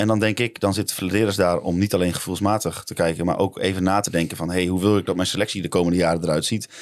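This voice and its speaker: A man talks at a very fast pace in a very deep, low voice, with hardly any pauses and monotone, flat intonation. The recording is very clean, with a silent background. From Netherlands. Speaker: football podcast co-host. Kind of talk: casual chat.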